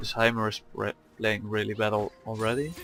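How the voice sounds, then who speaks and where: Background music plays throughout. Over it, a man talks in a mid-range pitch. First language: not English. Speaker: gaming youtuber. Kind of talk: gameplay commentary. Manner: hesitant, many fillers.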